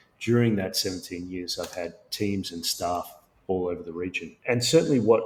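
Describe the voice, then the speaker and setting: A man with an Australian accent speaks at a fairly low pitch, his loudness swinging widely. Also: ordinary pitch variation, moderate pace. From Sri Lanka and Australia. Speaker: tech company founder and CEO. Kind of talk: podcast interview.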